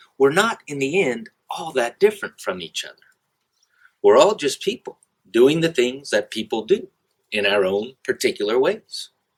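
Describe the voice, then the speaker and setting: A man at a moderate pace, big swings in loudness, in a dry, close sound with no echo. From US South, South Carolina. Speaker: English teacher. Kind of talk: scripted narration.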